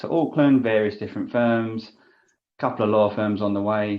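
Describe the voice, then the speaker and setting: With an English accent, a man speaks at a fairly low pitch and ordinary pitch variation. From London, England. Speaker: business development coach. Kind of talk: interview.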